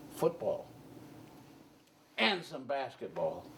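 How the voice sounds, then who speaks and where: A man talks with a Charleston accent. His pace is fairly slow. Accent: Southern US (Charleston). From Charleston, South Carolina. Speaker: Army veteran. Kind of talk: oral history interview answer.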